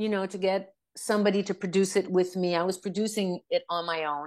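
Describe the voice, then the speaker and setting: Someone speaks with a Quebec accent against a quiet background. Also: woman. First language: French. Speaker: rock singer. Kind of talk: interview.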